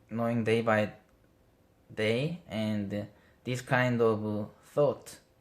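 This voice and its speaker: A man talks with a non-native accent at a medium pitch. His intonation stays fairly even. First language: not English. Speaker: vlogger. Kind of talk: casual monologue. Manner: halting.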